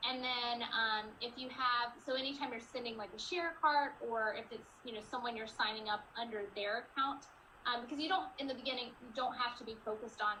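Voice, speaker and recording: Amid audible room echo, a woman with a high pitch talks at a fairly quick pace with ordinary pitch variation. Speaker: network marketing coach. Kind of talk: team training call Q&A.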